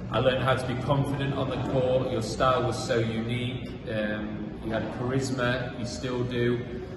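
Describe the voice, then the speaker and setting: Speech runs at a moderate pace with hardly any pauses. Noticeable background noise and audible room echo are present. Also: man. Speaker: professional squash player. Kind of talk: spoken tribute message. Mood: warm, appreciative. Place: hall.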